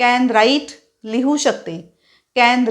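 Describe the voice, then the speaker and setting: The recording is very clean, with a silent background. A woman speaks at a high pitch with ordinary pitch variation. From Maharashtra, India. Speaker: English teacher. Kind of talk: tutorial.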